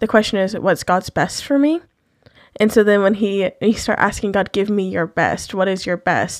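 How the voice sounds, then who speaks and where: A woman talks at a moderate pace in a plain, everyday voice. The recording is very clean, with a silent background. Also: medium pitch for a woman, ordinary pitch variation. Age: 20s. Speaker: podcast co-host. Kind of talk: casual chat.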